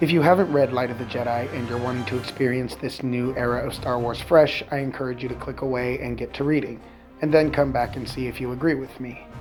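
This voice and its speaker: Over background music, a man talks at a very fast pace. His pitch is medium and his intonation fairly even. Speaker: book reviewer. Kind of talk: casual talk to camera.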